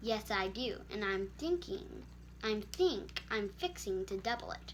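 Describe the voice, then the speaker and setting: Fairly slow, put-on character voice from a woman, with clear background noise. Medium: read story.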